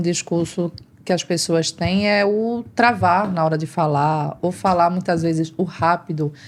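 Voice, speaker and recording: A woman with a fairly low pitch talks at a fairly slow pace with hardly any pauses, in an ordinary speaking voice. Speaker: speech therapist and vocal coach. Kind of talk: interview. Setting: live stream.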